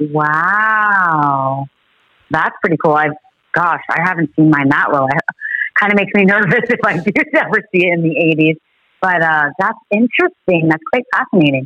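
A woman with a fairly low pitch uses a normal speaking voice at a moderate pace, with ordinary pitch variation and a dry, close sound with no echo. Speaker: co-host. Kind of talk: casual chat.

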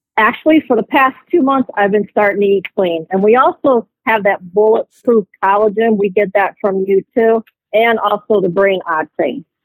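A woman's normal speaking voice with an American accent, medium in pitch, with ordinary pitch variation, a moderate pace, hardly any pauses, very even loudness and a dry, close sound with no echo. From Ohio. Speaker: caller. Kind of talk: phone-in question.

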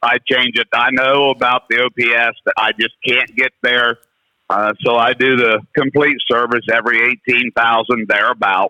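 It is a plain, everyday voice with an American accent and very even loudness. The pace is fairly slow and the intonation fairly even. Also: man. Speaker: caller. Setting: phone call.

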